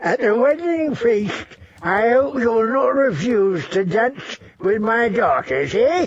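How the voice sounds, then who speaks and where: Fairly slow and extremely high, a man's put-on character voice has lively intonation. His loudness stays very even. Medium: read story. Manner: chuckling, coaxing.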